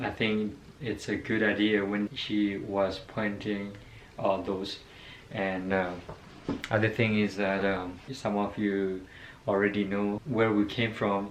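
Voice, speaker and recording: A man with a non-native accent speaks very slowly in a fairly low, monotone, flat voice, with audible room echo. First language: not English. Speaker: vlogger. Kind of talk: casual personal story. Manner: halting, many fillers.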